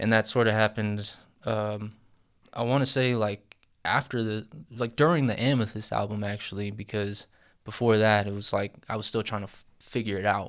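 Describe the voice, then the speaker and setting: At a moderate pace, a man talks with fairly even intonation but big swings in loudness. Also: fairly low pitch for a man, very clean recording, silent background. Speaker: rapper. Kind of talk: interview. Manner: casual, filler-heavy.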